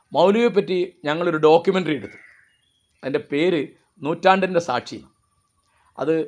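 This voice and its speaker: Over a quiet background, a man with a fairly high pitch uses an ordinary speaking voice with fairly even intonation. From Kerala, Kozhikode district (Mukkam area); Kerala. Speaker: writer and commentator; commentator. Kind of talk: monologue talk. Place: garden.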